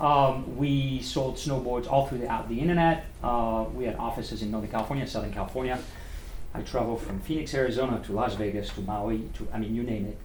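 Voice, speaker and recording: Amid noticeable background noise and audible room echo, a man of medium pitch speaks at a fairly quick pace with ordinary pitch variation. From France (Paris). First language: French. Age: 50s. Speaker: restaurant owner and former sales representative. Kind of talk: guest talk at a speaking club. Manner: animated.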